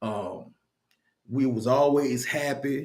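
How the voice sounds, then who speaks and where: A man's voice with ordinary pitch variation. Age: 50s. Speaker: video blogger. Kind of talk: casual monologue. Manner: halting, repetitive.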